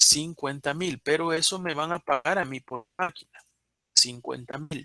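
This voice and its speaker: A man's bright, sharp voice in a dry, close sound with no echo. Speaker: university lecturer. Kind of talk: online lecture.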